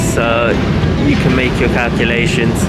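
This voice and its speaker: A man at a fairly slow pace, dry with no echo, music in the background. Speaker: travel vlogger. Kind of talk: casual vlog chat. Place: boat. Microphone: phone near.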